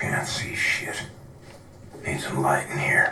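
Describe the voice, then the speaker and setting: A man's raspy, whispered put-on character voice at a fairly slow pace. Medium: short film. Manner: gruff, brooding.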